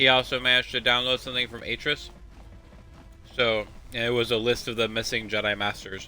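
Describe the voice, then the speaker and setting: Music plays in the background as a man at a medium pitch talks fairly quickly in a monotone, flat delivery broken by long, frequent pauses. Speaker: gaming streamer. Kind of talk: let's play commentary. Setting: home stream, window open. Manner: loud.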